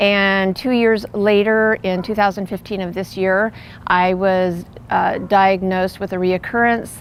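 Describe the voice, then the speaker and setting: Her intonation monotone and flat, a woman talks in a General American accent. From US West Coast, California. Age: 60s. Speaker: cancer patient. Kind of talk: testimony. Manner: halting.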